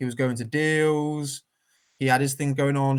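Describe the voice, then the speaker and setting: A man speaks in a West Country accent. His pitch is fairly high. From southwest England, Weston-super-Mare. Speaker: author. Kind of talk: casual chat. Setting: live stream video call. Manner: animated.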